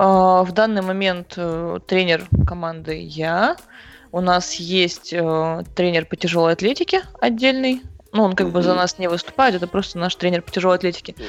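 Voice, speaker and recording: A plain, everyday voice from a woman, pitched fairly low, moderate in pace, with ordinary pitch variation. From Siberia, Krasnoyarsk. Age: 20s. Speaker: CrossFit athlete and coach. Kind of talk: interview.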